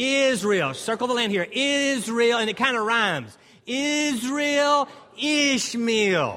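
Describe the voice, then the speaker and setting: In an American accent, a man projects a raised voice at extremely high pitch, with ordinary pitch variation and a very slow pace. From Texas, Dallas. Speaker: pastor and Bible seminar instructor. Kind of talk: interactive teaching seminar. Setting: stage with audience. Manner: animated.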